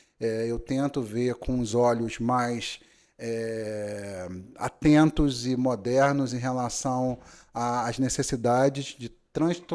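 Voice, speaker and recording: In a Rio de Janeiro accent, a man speaks at a very slow pace and medium pitch with fairly even intonation, on a very clean recording with a silent background. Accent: Rio de Janeiro (carioca) accent, noticeable. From Brazil, Rio de Janeiro city. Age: 40s. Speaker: notary. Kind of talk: podcast interview. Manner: hesitant, many fillers.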